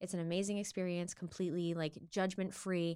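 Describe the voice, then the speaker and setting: A plain, everyday voice with an American accent, on a very clean recording with a silent background. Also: woman. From Maine, US. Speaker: singer. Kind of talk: casual chat.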